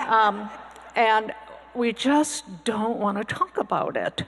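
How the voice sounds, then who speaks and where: With noticeable background noise behind her, a woman talks at a fairly high pitch with ordinary pitch variation. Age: 70s. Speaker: panelist, retired physician assistant. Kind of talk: panel discussion. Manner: halting, many fillers.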